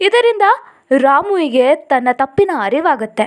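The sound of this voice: A high-pitched woman speaks at a fairly slow pace. Her pitch swings widely.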